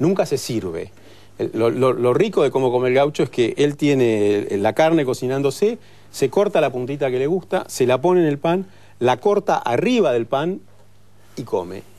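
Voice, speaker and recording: A man speaks with a fairly high pitch and a dark, mellow tone. His pace is moderate. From Argentina, Bariloche; Argentina. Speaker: chef; guest. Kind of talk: TV talk show interview. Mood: relaxed, storytelling. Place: studio.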